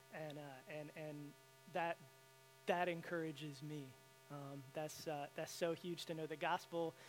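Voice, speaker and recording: A man with a Southern US accent speaks at a fairly high pitch in a monotone, flat delivery. His pace is fairly slow, broken by long, frequent pauses. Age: 30s. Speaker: guest speaker. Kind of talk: sermon. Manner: halting.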